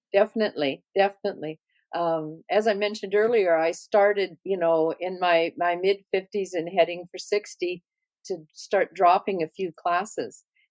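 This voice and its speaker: In a Canadian accent, a woman with a plain, everyday voice talks at a moderate pace and medium pitch with fairly even intonation, in a dry, close sound with no echo. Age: 60s. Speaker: singer-songwriter. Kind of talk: casual interview chat.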